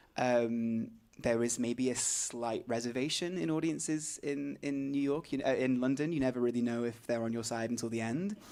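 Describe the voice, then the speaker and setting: This man has a British accent and a medium pitch. He talks at a moderate pace with ordinary pitch variation. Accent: British-sounding. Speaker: stage actor. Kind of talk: interview.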